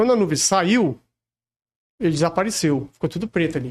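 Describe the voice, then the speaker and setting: Fairly quick male speech with ordinary pitch variation. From Rio de Janeiro, Brazil. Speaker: celebrity lookalike. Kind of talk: casual chat.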